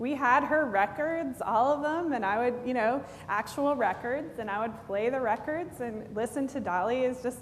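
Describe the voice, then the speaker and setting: With a slight Tennessee accent, a woman speaks at a moderate pace and high pitch with ordinary pitch variation, amid audible room echo and noticeable background noise. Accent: slight Southern (Tennessee). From East Tennessee, Knoxville area. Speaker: pastor. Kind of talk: sermon. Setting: church. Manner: conversational, many fillers.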